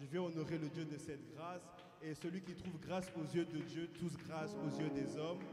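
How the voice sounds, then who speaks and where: A man speaks in a monotone, flat intonation. Audible room echo and noticeable background noise surround him. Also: fairly high pitch for a man, moderate pace. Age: 20s. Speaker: preacher. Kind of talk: sermon. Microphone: mic held poorly.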